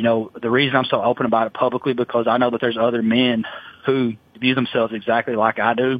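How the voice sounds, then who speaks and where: Talking very fast at a medium pitch, a man with an American accent keeps a flat, monotone delivery and very even loudness. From US Midwest, southeast Missouri. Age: 40s. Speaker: motivational speaker. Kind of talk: interview.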